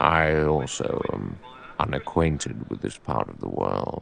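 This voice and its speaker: In a put-on character voice, a man speaks very deep and low at a fairly slow pace with fairly even intonation. His loudness swings widely. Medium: read story. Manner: formal, cautious.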